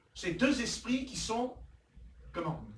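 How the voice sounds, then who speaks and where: With an animated tone and an extremely high pitch, a man speaks amid audible room echo. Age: 60s. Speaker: pastor. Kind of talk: sermon.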